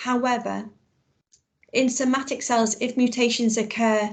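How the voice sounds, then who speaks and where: Somewhat breathy delivery at a fairly slow pace. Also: woman. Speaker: biology teacher. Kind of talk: online lesson.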